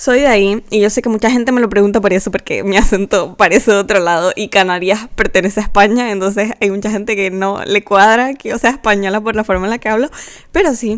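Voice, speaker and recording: Barely pausing, a woman speaks at a very fast pace with fairly even intonation. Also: fairly high pitch for a woman. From Canary Islands, Spain. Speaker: artist and content creator. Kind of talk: casual narration over speedpaint.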